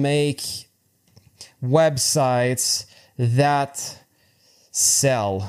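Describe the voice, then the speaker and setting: A man with a French accent speaks with ordinary pitch variation. The recording is very clean, and the background is silent. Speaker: freelance web developer and tutorial creator. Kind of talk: tutorial. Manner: halting, with many fillers and repetitions.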